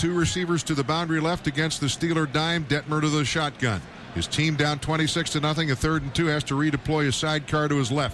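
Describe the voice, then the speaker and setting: Noticeable background noise surrounds a man with a fairly high pitch. He talks at a fairly quick pace with hardly any pauses, fairly even intonation and very even loudness. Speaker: radio play-by-play announcer. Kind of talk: live football broadcast play-by-play.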